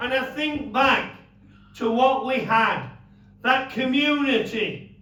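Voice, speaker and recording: Over noticeable background noise and audible room echo, a man uses a raised, projected voice at an extremely high pitch, speaking at a very slow pace with fairly even intonation. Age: 70s. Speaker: former miner and campaigner. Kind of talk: speech.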